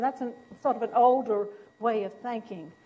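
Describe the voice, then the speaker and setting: With a Southern US accent, a woman speaks at a high pitch. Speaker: physician and professor. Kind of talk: lecture.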